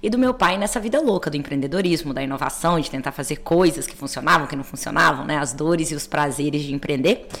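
Over noticeable background noise, a woman with a fairly low pitch talks at a very fast pace with lively intonation. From Belo Horizonte, Brazil. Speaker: innovation executive and mentor. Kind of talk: interview.

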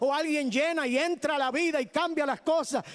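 With an extremely high pitch and ordinary pitch variation, a man speaks at a moderate pace. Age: 60s. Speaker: preacher. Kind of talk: sermon. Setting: church.

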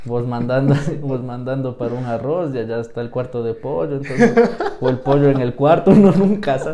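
With a Quito accent, a man talks at a fairly quick pace in a medium pitch with ordinary pitch variation, amid noticeable background noise and audible room echo. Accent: Quito Ecuadorian Spanish. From Ecuador, Quito (south). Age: 20s. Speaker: podcast co-host. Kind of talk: casual chat.

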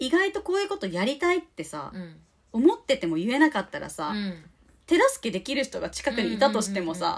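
A high-pitched woman at a fairly quick pace, with very wide pitch swings. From Japan, Shizuoka (Shimada). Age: 30s. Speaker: podcast co-host and singer. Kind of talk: casual chat.

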